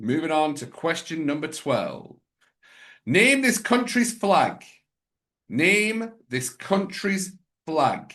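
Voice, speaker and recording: A man with an American accent, high-pitched and bright, sharp in tone, at a very slow pace with long, frequent pauses and very wide pitch swings. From northern England, Sheffield/Barnsley area. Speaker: quiz host. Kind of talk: quiz hosting. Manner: clear, deliberate.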